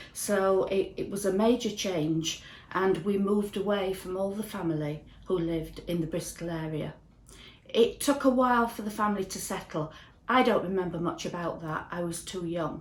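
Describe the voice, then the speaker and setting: Speaking in a Yorkshire accent, a woman keeps a moderate pace at a medium pitch with ordinary pitch variation, and audible room echo surrounds her voice. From northern England, Ossett, West Yorkshire. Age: 60s. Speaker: church member. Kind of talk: testimony.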